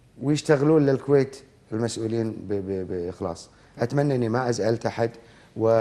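The speaker is a man with a dark, mellow tone. His pitch varies in an ordinary way. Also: medium pitch for a man, moderate pace. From Kuwait. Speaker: veteran broadcaster; TV guest. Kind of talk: interview; interview answer. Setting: studio. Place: studio. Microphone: lapel.

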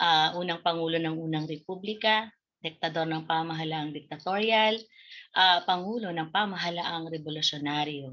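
An ordinary speaking voice at a moderate pace, with ordinary pitch variation against a quiet background. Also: woman. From Bicol, Philippines (Daet, Camarines Norte); Bicol, Philippines. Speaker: Filipino literature teacher. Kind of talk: online lesson. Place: home room. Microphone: webcam.

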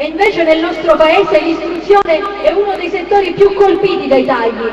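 Over light background noise and audible room echo, a woman with an extremely high pitch speaks at a moderate pace. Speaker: election candidate. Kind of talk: political rally speech. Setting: outdoor stage with audience. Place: stage.

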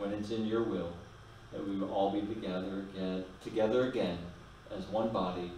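A man at a moderate pace, with monotone, flat intonation, audible room echo and light background noise. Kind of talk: prayer and announcements. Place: church.

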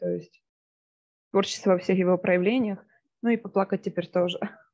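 Music plays in the background behind a woman. Her voice is medium in pitch, with ordinary pitch variation. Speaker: workshop participant, actress and puppeteer. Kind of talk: casual group chat.

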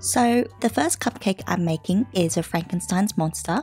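A woman's lively intonation and moderate pace come over music playing in the background. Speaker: polymer clay crafter. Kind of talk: craft tutorial narration.

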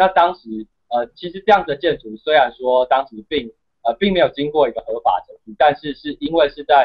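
Against a quiet background, a man with a Taiwanese accent speaks at a fairly high pitch. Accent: Taiwanese Mandarin. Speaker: university student and activist; guest. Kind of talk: interview. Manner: halting, many fillers. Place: home room. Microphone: video call.

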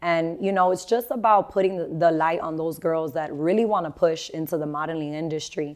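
A woman's fairly low-pitched voice with ordinary pitch variation, a fairly quick pace and hardly any pauses, over a quiet background. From Miami, Florida, Cuban-American family; Florida. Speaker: model agency founder and teacher; teacher. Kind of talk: casual interview. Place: studio. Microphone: lapel.

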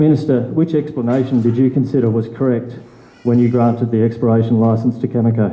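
Very fast and with very even loudness, a man speaks with fairly even intonation amid audible room echo. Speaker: local Greens party convener. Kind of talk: public meeting question. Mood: concerned, earnest. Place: meeting room. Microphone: handheld.

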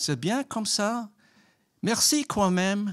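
A man talks at a fairly slow pace with a high pitch. The background is quiet. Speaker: storyteller. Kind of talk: storytelling. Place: stage. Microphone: handheld.

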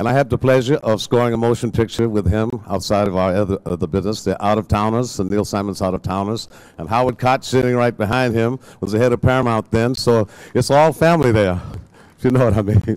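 A man talks at a very fast pace, his pitch varying in an ordinary way. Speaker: speaker. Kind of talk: public speech. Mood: warm, reminiscing. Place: stage. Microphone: podium.

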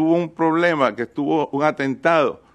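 Recorded dry and close with no echo against a quiet background, a man uses an ordinary speaking voice with a fairly high pitch, a moderate pace and fairly even intonation. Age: 60s. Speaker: state representative. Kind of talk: hearing testimony. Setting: hearing room.

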